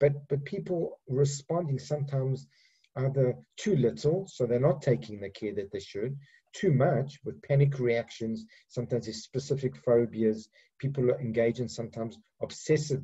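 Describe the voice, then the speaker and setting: This man's voice is fairly high, somewhat breathy, and dark and mellow in tone. He speaks at a fairly quick pace with ordinary pitch variation. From Africa. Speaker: psychiatrist. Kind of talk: lecture. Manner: halting, many repetitions and fillers.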